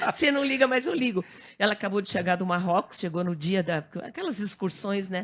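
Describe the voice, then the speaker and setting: A woman speaks at a fairly quick pace with an animated tone and medium pitch. The recording is very clean, with a silent background. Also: lively intonation. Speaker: TV presenter and newly elected politician. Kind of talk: radio talk show interview. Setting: radio studio.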